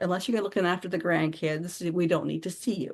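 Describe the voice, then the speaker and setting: A woman with a plain, everyday voice speaks at a fairly quick pace and a fairly low pitch against a quiet background. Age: 60s. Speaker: author and anthology curator. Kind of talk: podcast interview.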